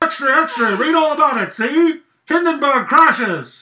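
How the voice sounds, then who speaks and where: Using a put-on character voice, a woman speaks in a high pitch with ordinary pitch variation. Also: fairly slow pace. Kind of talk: loud, declamatory. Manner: hand over mouth, muffled, announcing.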